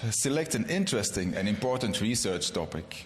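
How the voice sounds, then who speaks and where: With a non-native accent, a man talks at a moderate pace. His pitch swings very widely, and room echo is audible. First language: not English. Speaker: gynecologist, award lecturer. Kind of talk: award lecture. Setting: convention stage with audience. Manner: formal.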